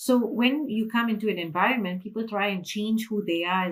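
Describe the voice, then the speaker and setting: A woman's somewhat breathy, fairly quick speech with a Malaysian accent. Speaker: financial freedom mentor. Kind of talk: interview.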